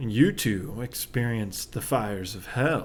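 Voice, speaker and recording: In a put-on character voice with a sinister tone, a man speaks at medium pitch and a fairly slow pace. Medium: audio drama. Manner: smooth and sinister.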